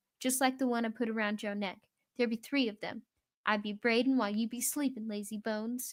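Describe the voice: Plain reading aloud with fairly even intonation plays over a quiet background.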